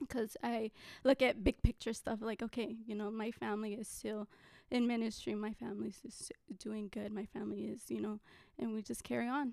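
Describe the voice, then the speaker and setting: A woman talks at a fairly quick pace in a fairly high pitch with fairly even intonation. The sound is dry and close, with no echo. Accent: American. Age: 20s. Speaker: ABA therapist and pastor's daughter. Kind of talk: casual interview chat.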